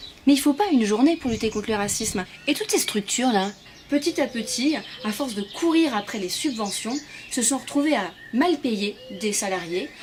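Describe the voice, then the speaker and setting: Against noticeable background noise, a woman speaks with a high pitch and lively intonation. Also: moderate pace. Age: 20s. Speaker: activist giving a performed lecture. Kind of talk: pitch presenting her talk. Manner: animated.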